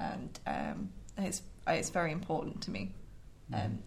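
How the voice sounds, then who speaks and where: Audible room echo carries the voice of a woman speaking at a moderate pace. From Lincolnshire, England. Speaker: politics undergraduate student. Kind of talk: casual panel discussion. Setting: studio.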